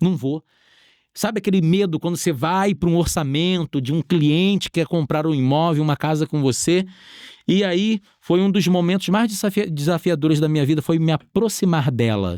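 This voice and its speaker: A man with a Rio de Janeiro accent speaks at a high pitch and moderate pace, with ordinary pitch variation, very even loudness, and a dry, close sound with no echo. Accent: carioca. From Rio de Janeiro, Brazil. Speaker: entrepreneur. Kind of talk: interview testimony.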